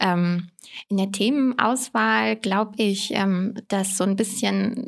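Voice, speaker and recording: The woman talks very slowly. Her intonation is fairly even. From Rhineland-Palatinate, Germany (Koblenz). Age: 20s. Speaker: parliamentary staffer, former first-generation student. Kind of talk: casual interview. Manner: hesitant, many fillers.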